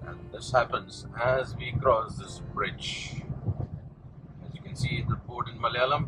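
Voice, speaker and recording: A man at a fairly slow pace, with music in the background. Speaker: travel vlogger driving. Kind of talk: travel commentary. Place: car.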